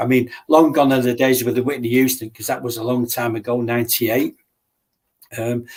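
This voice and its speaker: In an English accent, a man with a medium pitch talks at a fairly quick pace with monotone, flat intonation. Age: 60s. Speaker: martial artist and bodyguard. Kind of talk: casual interview chat.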